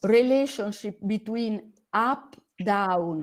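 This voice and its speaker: Speaking at a very slow pace, a woman with an Italian accent uses a medium pitch and ordinary pitch variation. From Italy. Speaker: astronomy educator. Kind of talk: online conference presentation. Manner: halting.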